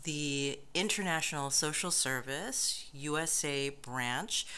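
In an American accent, a woman with a very deep, low pitch and a bright, sharp tone speaks at a very slow pace with ordinary pitch variation, amid audible room echo. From United States. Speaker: professor. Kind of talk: interview.

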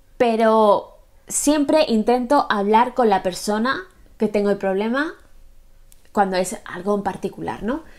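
Pausing long and often, a woman speaks at a fairly slow pace with a fairly high pitch and ordinary pitch variation. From Spain. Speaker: booktuber; book vlogger. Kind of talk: casual vlog monologue. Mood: relaxed, reflective. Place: home room.

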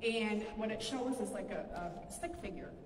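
A woman talks at a moderate pace with fairly even intonation. There is audible room echo and light background noise. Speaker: paranormal event guide. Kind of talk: briefing to a group. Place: hall. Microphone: camera far.

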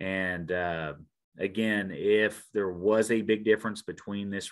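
With an Ozarks accent, a man speaks in a fairly low pitch and a monotone, flat intonation against a quiet background. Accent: Missouri Ozarks rural American. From Missouri Ozarks, Shannon County; Missouri. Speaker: park ranger; presenter. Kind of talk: presentation. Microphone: video call.

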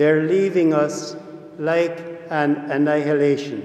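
A man speaks with audible room echo around him. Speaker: priest. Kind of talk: homily and prayers at Mass. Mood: solemn, gentle. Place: church. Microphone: podium.

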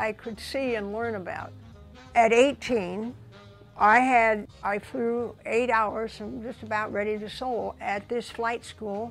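Very slowly and with fairly even intonation, a woman with a fairly high voice speaks over faint music in the background. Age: 80s+. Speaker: flight instructor and WWII ferry pilot. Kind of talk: documentary interview answer. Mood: reflective, warm recollection. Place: home room.

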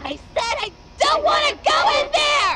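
Light background noise sits under a put-on character voice with extremely high pitch, delivered at a moderate pace. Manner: menacing.

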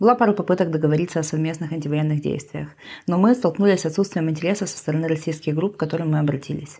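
Talking at a very fast pace, a woman uses a very deep, low voice with a dark, mellow tone and ordinary pitch variation. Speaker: anarchist activist. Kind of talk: panel discussion, re-voiced.

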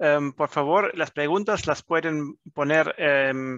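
A man with a German accent at a very slow pace, his fairly high pitch carrying ordinary variation and a bright, sharp tone, in a dry sound with no echo over a quiet background. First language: German (speaking Spanish). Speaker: business chamber manager hosting webinar. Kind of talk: webinar moderation. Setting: video call. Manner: halting, many fillers. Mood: friendly, relaxed. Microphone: headset.

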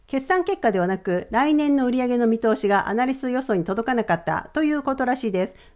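Lively intonation and a moderate pace from a woman with an unremarkable speaking voice, fairly high in pitch. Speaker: finance educator. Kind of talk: educational video monologue.

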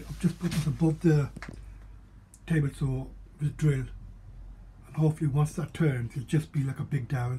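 Against light background noise, a man talks in a somewhat breathy voice with a dark, mellow tone and fairly even intonation. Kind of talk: casual workshop vlog narration. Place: workshop. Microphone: phone near.

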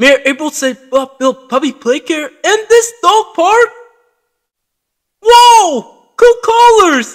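In a put-on character voice at an extremely high pitch, the speaker moves at a very slow pace with very wide pitch swings and long, frequent pauses.

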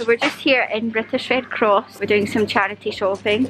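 A woman at a fairly quick pace, bright, sharp tone, faint background noise.

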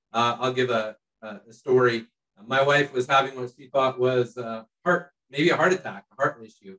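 Over a quiet background, a man with a bright, sharp tone speaks at a moderate pace with ordinary pitch variation and big swings in loudness. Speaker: missionary; panelist. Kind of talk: panel discussion. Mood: earnest, reflective. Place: home room. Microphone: video call.

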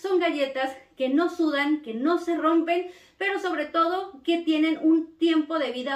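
A woman talks fairly slowly, and audible echo from the room can be heard. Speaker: cookie decorating teacher. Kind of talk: casual vlog chat promoting a course. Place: home room.

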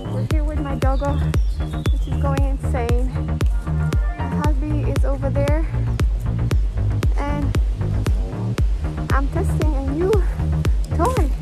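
Music plays in the background as the speech moves at a very slow pace with long, frequent pauses, in a dry sound with no echo. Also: woman. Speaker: vlogger. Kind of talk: casual vlog chat. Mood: cheerful, relaxed. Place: forest. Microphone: phone near.

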